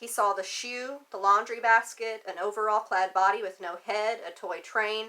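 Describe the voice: The text is read aloud plainly. Intonation stays fairly level throughout.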